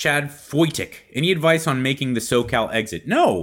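A very clean recording with a silent background, in an American accent. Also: man. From US West Coast (Los Angeles). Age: 40s. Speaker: podcast host, fitness coach. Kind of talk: casual Q&A monologue.

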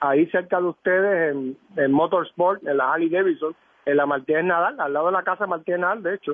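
Ordinary pitch variation and a fairly quick pace from a man with a high voice. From Puerto Rico, San Juan. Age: 50s. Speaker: former politician. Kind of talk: radio interview. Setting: phone call.

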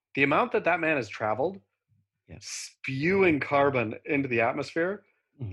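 An unremarkable speaking voice from a man with an American accent, medium pitch, lively intonation and a moderate pace. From US, Oregon. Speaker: podcast co-host. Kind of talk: casual chat. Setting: video call.

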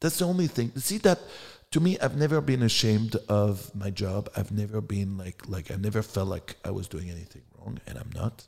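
A man with a French accent speaks at a fairly quick pace with lively intonation. His voice is somewhat breathy and fairly low in pitch. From France. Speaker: adult film director and performer. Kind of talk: interview.

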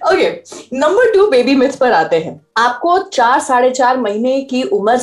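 A high-pitched woman's voice swings very widely in pitch against noticeable background noise. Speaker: radio host and parenting podcaster. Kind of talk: casual interview.

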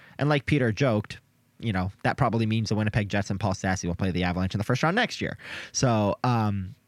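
A man talks at a very fast pace in a fairly low pitch, his tone enthusiastic. His pitch varies in an ordinary way. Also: very clean recording, silent background. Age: 20s. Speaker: podcast co-host and hockey writer. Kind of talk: casual chat. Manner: excitable, enthusiastic.

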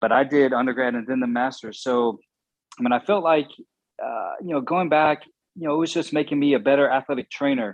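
A normal speaking voice from a man with an American accent and ordinary pitch variation. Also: fairly high pitch for a man. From Southwest Virginia / East Tennessee (Appalachia). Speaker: sports physiotherapist / athletic trainer. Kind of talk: interview.

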